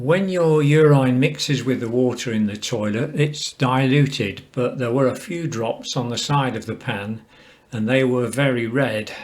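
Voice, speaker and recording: A man with an English accent, medium pitch, ordinary pitch variation and a fairly slow pace. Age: 70s. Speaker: cancer patient sharing experience. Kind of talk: personal testimony. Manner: calm, measured.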